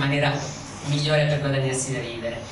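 Noticeable background noise and audible room echo are present throughout the clip. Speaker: audience questioner. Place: hall.

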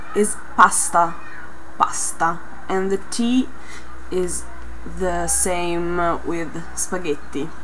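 Speaking at a very slow pace with long, frequent pauses, a woman is heard over light background noise. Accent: Italian. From Italy. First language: Italian. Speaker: Italian vlogger teaching pronunciation. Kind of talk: casual talk to camera. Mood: friendly, lightly amused. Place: home room. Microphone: webcam.

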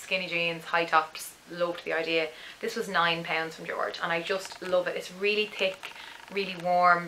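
A woman with an Irish accent speaks at a fairly low pitch. Light background noise sits behind her. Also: moderate pace. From Dublin, Ireland. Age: 20s. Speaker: parenting vlogger. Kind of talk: casual talk to camera. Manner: chatty, enthusiastic. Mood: cheerful, enthusiastic. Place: home room. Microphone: camera far.

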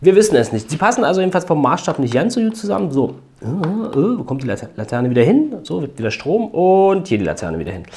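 Very fast speech in a dark, mellow tone, with vocal fry and very wide pitch swings. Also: man. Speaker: toy building set reviewer. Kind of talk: casual video review. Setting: home at a building table. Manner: casual with frequent fillers.

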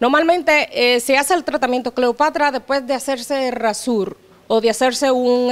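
A woman's high voice at a moderate pace, with fairly even intonation. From Dominican Republic. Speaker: beauty therapist; guest. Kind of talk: casual chat. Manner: halting. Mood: relaxed, friendly. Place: home room. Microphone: handheld.

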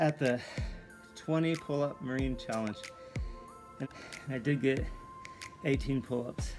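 A man keeps a moderate pace while clear music plays in the background. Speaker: home handyman vlogger. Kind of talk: casual vlog chat. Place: home room. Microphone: phone near.

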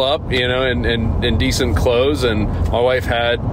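There is noticeable background noise as a man speaks. The sound is dry, with no echo. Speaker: podcast co-host. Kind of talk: casual podcast storytelling. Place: car.

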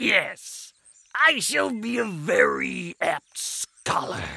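Very slow, raspy speech from a man in a put-on character voice. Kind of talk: fairy-tale audiobook acting. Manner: eager, then furious.

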